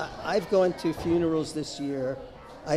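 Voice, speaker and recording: A man with a fairly high pitch talks at a moderate pace, using ordinary pitch variation. Crowd noise fills the background, and room echo is audible. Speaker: retired chemistry professor. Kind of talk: interview, fundraising appeal.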